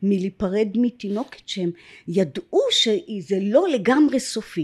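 Her voice sits at a fairly high pitch and is somewhat breathy. This woman's pitch swings very widely. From Israel, kibbutz in Upper Galilee. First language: English (speaking Hebrew). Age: 60s. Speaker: adoptee sharing her story. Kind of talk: personal testimony interview. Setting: filmed podcast studio.

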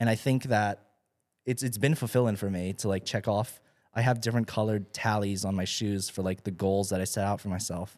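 In a very clean recording with a silent background, a man with a plain, everyday voice talks fairly quickly at a fairly low pitch with fairly even intonation. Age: 20s. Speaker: content creator. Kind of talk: casual chat.

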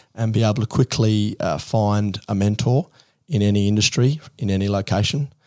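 A man with an Australian accent and a fairly low pitch speaks at a fairly slow pace on a very clean recording with a silent background. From outback Queensland, Australia. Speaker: tech startup founder. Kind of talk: interview.

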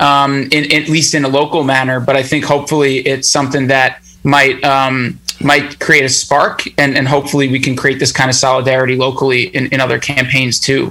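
Over noticeable background noise, a man with an American accent speaks fairly quickly in a monotone, flat delivery, his fairly high pitch held at a very even loudness. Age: 30s. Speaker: union organizer. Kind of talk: casual interview.

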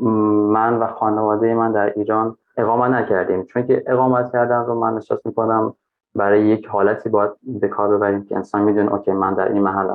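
A man speaks at a fairly quick pace in a fairly low voice. His loudness stays very even and his intonation is flat and monotone. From Afghanistan, raised in Iran. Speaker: Afghan migrant. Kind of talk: interview.

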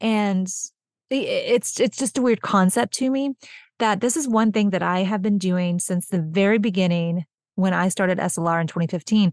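A woman with a Texan accent talks at a moderate pace and medium pitch, with ordinary pitch variation. The sound is dry and close with no echo, over a quiet background. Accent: Texan American. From Texas. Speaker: podcast host, small business owner. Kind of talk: casual solo podcast talk. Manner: animated.

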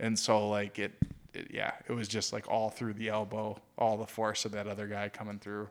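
Flat and monotone, a fairly low-pitched man with an American accent speaks at a moderate pace. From Michigan. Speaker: sports podcast co-host. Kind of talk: casual chat.

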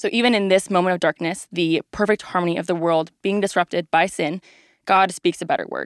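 A woman with an American accent and a normal speaking voice talks at a fairly quick pace with a medium pitch and fairly even intonation, in dry, close sound with no echo on a very clean recording with a silent background. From Texas, Dallas area. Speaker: ministry resident. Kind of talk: presentation of Bible overview.

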